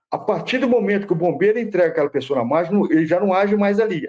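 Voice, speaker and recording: A man speaks with very wide swings in pitch. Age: 60s. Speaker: father running a suicide-prevention institute. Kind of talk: interview. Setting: live-streamed online interview. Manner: halting, with many repetitions and restarts.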